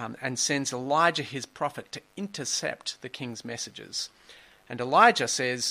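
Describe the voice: The speaker does plain reading aloud. The pitch varies in an ordinary way.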